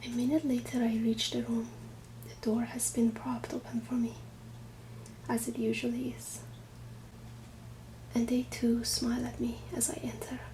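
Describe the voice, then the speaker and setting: Soft-spoken, a woman talks at a moderate pace with long, frequent pauses over noticeable background noise. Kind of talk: ASMR book reading.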